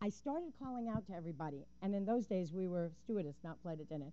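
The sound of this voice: A woman's dark, mellow tone with lively intonation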